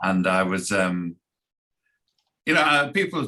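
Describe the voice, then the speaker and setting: With a Scouse accent, a man speaks at a fairly low pitch in a bright, sharp tone. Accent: faint Scouse. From Liverpool, England. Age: 60s. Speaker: foreign affairs commentator. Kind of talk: casual interview. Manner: halting.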